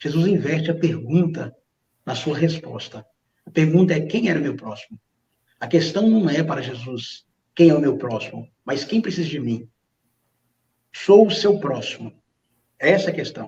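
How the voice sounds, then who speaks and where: Pausing long and often, a man speaks at a moderate pace in a fairly high, dark and mellow voice whose loudness swings widely. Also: lively intonation. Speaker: pastor. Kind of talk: religious reflection. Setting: online livestream.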